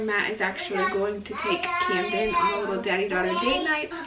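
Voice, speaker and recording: There is audible room echo and noticeable background noise as a woman with fairly high pitch speaks at a moderate pace. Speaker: homesteading vlogger and mother. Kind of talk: casual vlog narration. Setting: at home in kitchen. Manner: soft-spoken.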